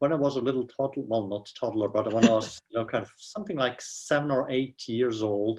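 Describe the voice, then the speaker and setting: With a Swiss accent, a man at a medium pitch talks at a fairly quick pace, hardly pausing at all. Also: ordinary pitch variation. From Switzerland. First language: Swiss German. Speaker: professor. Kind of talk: interview. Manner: halting, many fillers.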